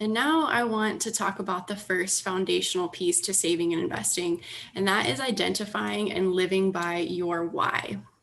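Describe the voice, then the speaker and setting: Over noticeable background noise, a woman with an American accent speaks at a moderate pace. Her pitch is medium with ordinary pitch variation. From United States. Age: 20s. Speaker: personal finance educator. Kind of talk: presentation. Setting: online video call.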